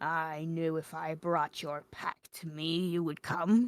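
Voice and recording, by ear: Using a put-on character voice, a woman speaks at a fairly slow pace with a fairly low pitch.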